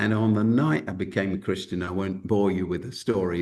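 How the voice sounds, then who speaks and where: At a fairly quick pace, a man with a South London accent speaks in a very deep, low pitch with fairly even intonation. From South London, England. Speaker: Baptist minister, school founder. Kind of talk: webinar interview.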